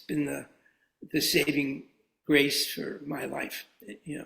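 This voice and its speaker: Speaking with an American accent at a fairly slow pace, a man has a fairly high pitch, a bright, sharp tone and vocal fry. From Brooklyn, New York. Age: 80s+. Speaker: artist, writer and former ad man. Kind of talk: interview answer.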